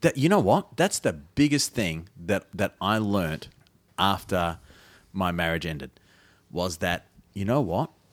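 A man with an Australian accent and a very deep, low voice speaks fairly slowly with lively intonation and long, frequent pauses, in a dry, close sound with no echo. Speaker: podcast host. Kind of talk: casual comedic chat. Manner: joking, self-deprecating.

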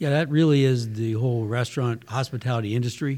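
A man with an American accent talks at a fairly quick pace in a medium-pitched voice with a dark, mellow tone and fairly even intonation. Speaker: dairy business owner, co-host. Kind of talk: casual interview chat.

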